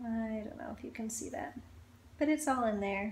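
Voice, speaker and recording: The speaker is a woman. There is light background noise. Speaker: family vlogger. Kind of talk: casual vlog chat. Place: home room. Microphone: phone near.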